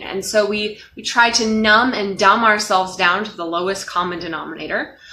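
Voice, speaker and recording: Room echo is audible as a woman speaks at a fairly high pitch and a moderate pace. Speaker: life coach. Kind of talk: motivational talk to camera. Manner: loud, expressive.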